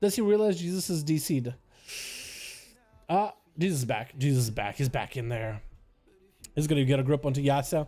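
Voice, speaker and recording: A man with a slight Russian accent and a dark, mellow tone talks at a fairly quick pace and fairly high pitch, using lively intonation broken by long, frequent pauses. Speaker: gaming streamer and PvP commentator. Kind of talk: live game commentary. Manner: animated.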